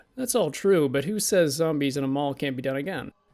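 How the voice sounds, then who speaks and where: A man's fairly high-pitched voice over music in the background. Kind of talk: casual video essay pitch. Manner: fast.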